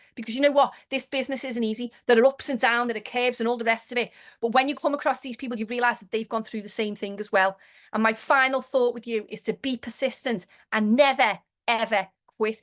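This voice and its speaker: The speech runs at a very fast pace with big swings in loudness over a quiet background. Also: woman, high pitch for a woman. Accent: Liverpool. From Liverpool, England. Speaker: network marketing manager. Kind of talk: motivational webinar talk. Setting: video call. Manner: animated.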